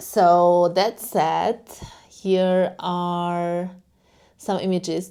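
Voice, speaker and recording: A woman speaks at a very slow pace with a Hungarian accent and a dark, mellow tone. The recording is very clean, with a silent background. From Hungary. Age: 30s. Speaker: lifestyle vlogger. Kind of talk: casual vlog.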